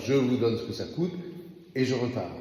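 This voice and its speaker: A man talks at a medium pitch with ordinary pitch variation. Room echo is audible around his voice. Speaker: parish priest. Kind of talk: bible study talk. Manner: slow.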